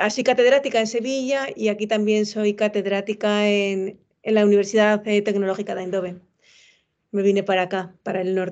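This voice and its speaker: Her intonation stays fairly even. This woman talks at a moderate pace with a fairly high pitch. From Spain, Madrid. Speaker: professor. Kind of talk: casual chat.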